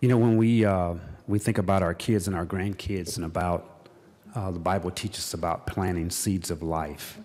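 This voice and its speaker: A man speaks in a very deep, low voice at a moderate pace. His intonation stays fairly even. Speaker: state legislator. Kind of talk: floor speech. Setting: legislative chamber. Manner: halting, many fillers.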